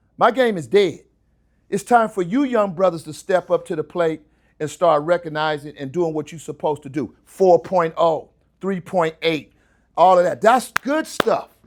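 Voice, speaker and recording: A man talks in an animated tone at a high pitch, with ordinary pitch variation and big swings in loudness. The recording is very clean, with a silent background. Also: moderate pace. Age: 60s. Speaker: retired landscaper, guest speaker. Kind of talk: motivational talk to students.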